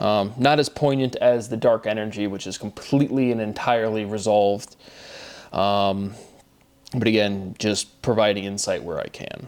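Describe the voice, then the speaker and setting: Fairly low and fairly even in intonation, a man speaks at a moderate pace in an unremarkable speaking voice. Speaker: independent theorist sharing his own work. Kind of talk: solo monologue. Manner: rambling with many fillers.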